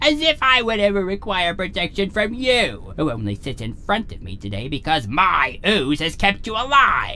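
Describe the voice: Putting on a cartoonish character voice, a man speaks high-pitched and bright, sharp in tone, at a moderate pace with very wide pitch swings and few pauses.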